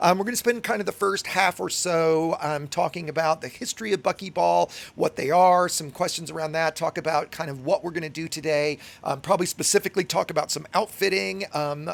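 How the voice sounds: Raspy and hoarse with vocal fry, a man speaks at a fairly quick pace in a fairly high voice with ordinary pitch variation.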